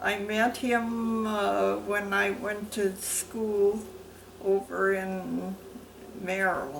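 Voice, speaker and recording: Speaking very slowly in an American accent, a woman is heard with audible room echo and noticeable background noise. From US Midwest, Wisconsin. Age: 80s+. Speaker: interviewee, military wife. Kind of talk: oral history interview. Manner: halting.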